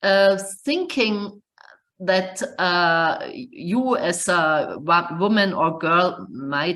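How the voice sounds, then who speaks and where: In a German accent, a woman speaks at a fairly low pitch with audible room echo. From Germany. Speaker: computer science professor. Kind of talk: webinar lecture. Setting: online webinar. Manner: halting, many fillers.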